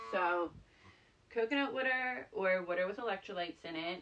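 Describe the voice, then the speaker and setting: A woman speaks in a medium pitch with an animated tone. Her intonation is lively. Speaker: doula and podcast host. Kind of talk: solo podcast monologue.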